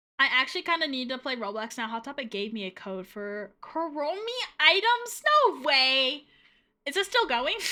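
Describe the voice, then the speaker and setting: A woman's high voice is raised and projected, her pitch swinging very widely. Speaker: VTuber streamer. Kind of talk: casual live-stream chat. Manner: fast; slurred diction at times.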